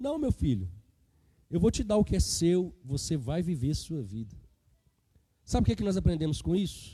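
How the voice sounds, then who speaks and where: In a very clean recording with a silent background, a man with a dark, mellow tone speaks somewhat breathily, his pitch swinging very widely. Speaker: preacher. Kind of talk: sermon.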